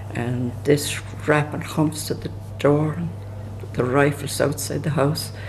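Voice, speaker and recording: Noticeable background noise can be heard. Over it, a man talks at a medium pitch. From rural Ireland. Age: 80s+. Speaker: elderly emigrant recalling history. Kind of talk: oral history storytelling. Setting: pub. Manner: halting, with false starts.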